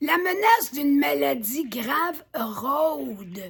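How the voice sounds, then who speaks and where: A high-pitched woman's voice amid noticeable background noise. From Quebec. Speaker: author reading her own book. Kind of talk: reading aloud with commentary.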